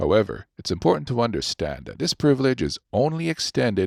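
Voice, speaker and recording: A voice with very wide pitch swings and vocal fry, recorded very cleanly against a silent background, with a dry, close sound and no echo. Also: man. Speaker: voice actor. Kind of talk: audiobook narration.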